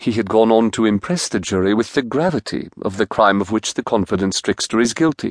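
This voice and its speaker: Against a quiet background, a man with a normal speaking voice talks at a fairly quick pace and medium pitch, his intonation lively. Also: dry, close sound with no echo. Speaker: audiobook narrator. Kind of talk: scripted narration of a novel, here voicing a judge's summing-up to a jury. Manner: measured, impartial judicial cadence in long formal periodic sentences.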